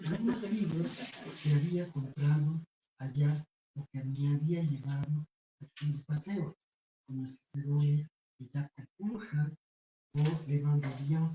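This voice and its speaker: Very slow and somewhat breathy, a man speaks with a dark, mellow tone at a fairly high pitch, with ordinary pitch variation and a dry, close sound with no echo. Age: 70s. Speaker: writer presenting a book. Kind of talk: book presentation speech. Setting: bookstore event with audience. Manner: formal.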